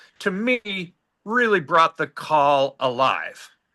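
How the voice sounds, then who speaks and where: A man talks with lively intonation and a bright, sharp tone. The background is quiet. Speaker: call participant. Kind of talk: casual chat. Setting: video call. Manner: halting.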